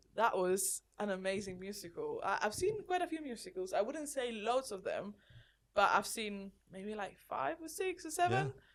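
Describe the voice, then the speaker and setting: A woman's fairly high voice with a Spanish accent, moderate in pace, with very wide pitch swings over background music. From Spain. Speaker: podcast co-host. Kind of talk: casual chat.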